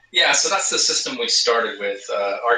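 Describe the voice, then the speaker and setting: There is audible room echo. Through it, a man speaks at a moderate pace. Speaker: guest. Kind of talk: interview answer. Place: home room.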